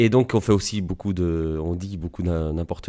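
The voice belongs to a man. Its tone is dark and mellow. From Belgium, Liège. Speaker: osteopath. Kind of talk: interview.

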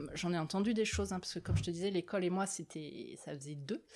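The recording is very clean against a silent background. A woman's fairly low voice shows ordinary pitch variation. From Paris region, France. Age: 40s. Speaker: social worker. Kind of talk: interview. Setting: filmed interview. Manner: halting.

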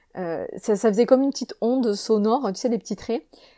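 Fairly high-pitched for a woman, her voice has a dark, mellow tone. The sound is dry and close with no echo, in a very clean recording with a silent background. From southern France, Avignon. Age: 30s. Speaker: wellness coach and podcaster. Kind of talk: casual solo monologue. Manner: hesitant, many fillers and repetitions.

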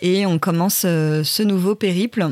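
A woman talks at a fairly low pitch with ordinary pitch variation while noticeable background noise runs underneath. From Paris, France. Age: 40s. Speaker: travel blogger. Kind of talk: casual interview. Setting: wooden cabin.

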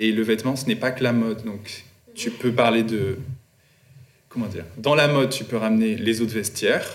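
Over audible room echo, a man speaks at a moderate pace with fairly even intonation and long, frequent pauses. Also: medium pitch for a man. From Guadeloupe and Paris suburbs. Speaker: artist and fashion designer. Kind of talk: interview.

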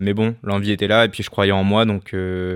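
His pitch fairly low, a man talks in a monotone with flat intonation. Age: 20s. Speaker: professional boxer and entrepreneur. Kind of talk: personal testimony monologue.

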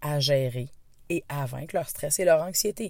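A woman with a Quebec accent speaks at a very slow pace in a very deep, low pitch with ordinary pitch variation. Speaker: stress and anxiety coach. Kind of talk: podcast monologue. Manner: hesitant, many fillers.

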